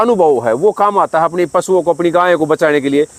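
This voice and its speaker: Here a man with a high pitch talks at a moderate pace with ordinary pitch variation, the sound dry and close with no echo. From Delhi, India. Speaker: cattle breeder and video blogger. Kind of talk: field interview vlog.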